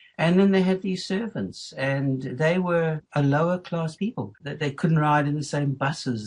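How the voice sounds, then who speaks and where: A man speaks with a South African accent at a moderate pace. His voice is somewhat breathy, with ordinary pitch variation. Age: 70s. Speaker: retired school principal. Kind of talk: interview. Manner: halting.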